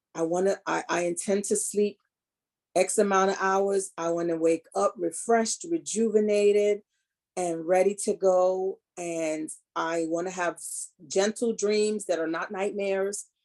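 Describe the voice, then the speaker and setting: Her medium-pitched voice moves at a fairly slow pace as the woman keeps a fairly even intonation. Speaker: holistic health and reiki practitioner. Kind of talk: wellness talk. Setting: video call. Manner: soothing, calm.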